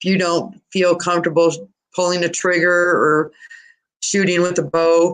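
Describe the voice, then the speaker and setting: A woman's fairly low voice at a moderate pace, monotone and flat, with very even loudness. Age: 50s. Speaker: hunting guide. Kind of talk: interview. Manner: casual.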